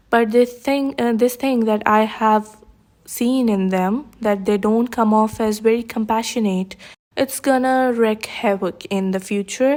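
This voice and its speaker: Over noticeable background noise, a woman with a non-native accent talks at a fairly slow pace in a fairly high pitch with fairly even intonation. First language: not English. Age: 20s. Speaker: YouTuber commentator. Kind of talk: casual commentary vlog. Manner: hesitant, many fillers.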